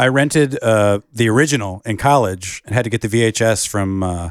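In a very clean recording with a silent background, a man with an American accent speaks in a normal speaking voice at a moderate pace, with a medium pitch and ordinary pitch variation. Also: dry, close sound with no echo. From Michigan. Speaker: movie podcast co-host. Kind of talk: casual chat. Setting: in a house in Michigan.

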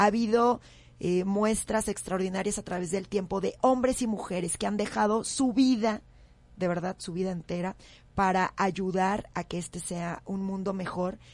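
Against a quiet background, a woman uses an ordinary speaking voice at medium pitch with fairly even intonation. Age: 40s. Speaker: radio host. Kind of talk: radio talk show.

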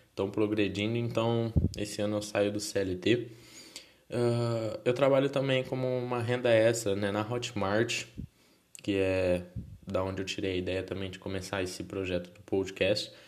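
Amid noticeable background noise, a man with a fairly low pitch speaks at a fairly slow pace with fairly even intonation and big swings in loudness. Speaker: podcaster. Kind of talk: casual monologue. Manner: halting.

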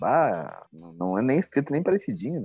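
The pitch rises and falls very widely, delivered at a moderate pace. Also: man. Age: 30s. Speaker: podcast co-host. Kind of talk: casual chat.

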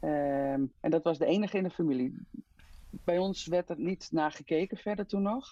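In a quiet background, a woman with a dark, mellow tone and vocal fry speaks at a moderate pace with a fairly low pitch and lively intonation. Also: dry, close sound with no echo. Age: 50s. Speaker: hemophilia patient and mother. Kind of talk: interview. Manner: halting with many fillers.

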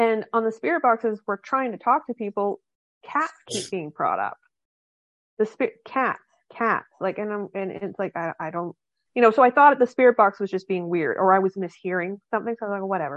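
This woman has a normal speaking voice, pitched fairly high. She talks at a fairly quick pace with lively intonation. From Canada. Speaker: paranormal investigator. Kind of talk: casual chat.

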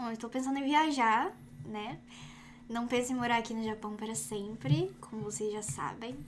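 In a normal speaking voice, a woman talks with lively intonation. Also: fairly high pitch for a woman, moderate pace. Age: 20s. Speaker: YouTuber. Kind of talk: casual chat.

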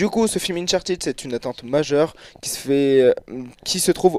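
Recorded dry and close with no echo, a man with a plain, everyday voice talks at a fairly quick pace with ordinary pitch variation. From France, Clermont-Ferrand. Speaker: video game columnist. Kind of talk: radio segment. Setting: radio studio.

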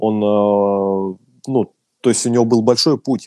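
A man's dark, mellow voice with ordinary pitch variation, a dry, close sound with no echo, and a very clean recording over a silent background. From Russia. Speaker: DJ and music producer. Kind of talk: casual interview.

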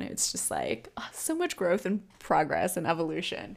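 At a moderate pace, a woman talks in a fairly low pitch. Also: very clean recording, silent background. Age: 20s. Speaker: podcast host. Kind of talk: casual solo podcast monologue.

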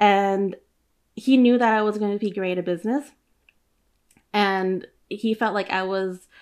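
A woman with an American accent at a medium pitch, speaking fairly slowly with ordinary pitch variation, on a very clean recording with a silent background. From Oakland, California. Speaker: chef and small business owner. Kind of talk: casual interview.

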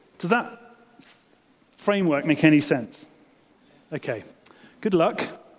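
A man's fairly high, animated voice at a fairly slow pace, with lively intonation, big swings in loudness, long, frequent pauses and noticeable background noise. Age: 40s. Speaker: pastor. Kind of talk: sermon.

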